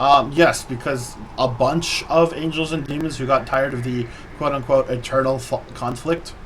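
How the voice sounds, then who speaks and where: Over noticeable background noise, a man talks with fairly even intonation at a fairly high pitch. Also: moderate pace. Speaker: vtuber streamer. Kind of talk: casual chat.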